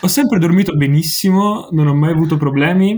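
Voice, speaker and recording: A man talks at a fairly quick pace with ordinary pitch variation. His voice is somewhat breathy. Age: young. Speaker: music webzine writer and video maker. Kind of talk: casual chat. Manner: halting.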